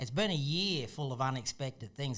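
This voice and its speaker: Moderate pace and fairly even intonation, in an Australian accent. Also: man. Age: 50s. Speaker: property investor and channel host. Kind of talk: casual interview chat.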